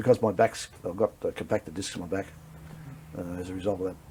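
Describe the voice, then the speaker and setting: Speaking at a very fast pace, this man has an Australian accent. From Victoria, Australia. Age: 50s. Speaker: war veteran. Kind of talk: interview. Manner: halting.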